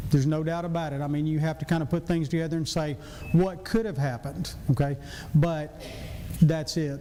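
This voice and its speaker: A man's fairly high voice with a Southern US accent, fairly quick and fairly even in intonation, with audible room echo. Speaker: physician and church deacon. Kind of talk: church class lecture.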